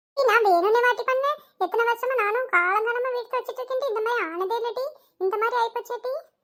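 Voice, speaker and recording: Putting on a cartoonish character voice, the speaker goes at a moderate pace with ordinary pitch variation. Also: woman, extremely high pitch for a woman. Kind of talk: comic overacting. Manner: wailing, dramatic, ends lines with "டி".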